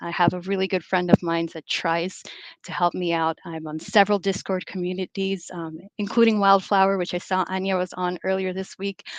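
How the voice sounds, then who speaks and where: Talking at a fairly quick pace in an American accent, a woman with a medium-pitched voice keeps her intonation monotone and flat, the sound dry and close with no echo and the background quiet. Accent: American-sounding accent, noted by herself. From US, of Belizean heritage. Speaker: development bank specialist. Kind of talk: conference talk. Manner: many filler words (um, uh).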